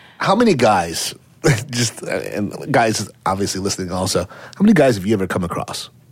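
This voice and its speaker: A man with a normal speaking voice talks fairly quickly at a fairly low pitch. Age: 40s. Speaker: celebrity scandal fixer. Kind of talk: casual chat. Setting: studio.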